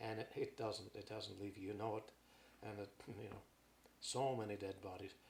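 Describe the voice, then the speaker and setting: A man at a moderate pace with fairly low pitch and monotone, flat intonation. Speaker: war veteran. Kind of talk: interview answer. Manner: storytelling.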